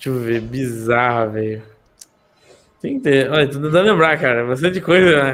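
A man at medium pitch and moderate pace, ordinary pitch variation, long, frequent pauses. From interior of São Paulo state, Brazil. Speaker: gravedigger. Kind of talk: casual chat.

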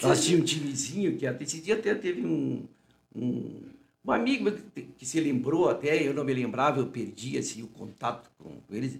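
A man speaks at a moderate pace with a fairly high pitch and vocal fry. His loudness swings a lot. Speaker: physician, interview guest. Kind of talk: casual interview, storytelling. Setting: studio. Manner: informal, repetitive, chatty.

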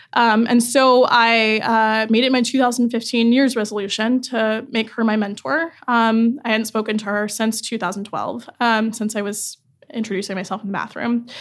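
A woman's ordinary speaking voice with an American accent, fairly high pitch and fairly even intonation, at a moderate pace with hardly any pauses. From US South, North Carolina. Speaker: tech startup founder. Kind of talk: interview. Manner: many filler ums.

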